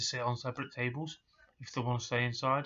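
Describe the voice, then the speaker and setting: In a quiet background, a man speaks at a fairly quick pace with an East Midlands accent. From England. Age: 30s. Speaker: hospitality worker and vlogger; vlogger. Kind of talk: personal vlog rant. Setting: at home in his room. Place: home room. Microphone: webcam.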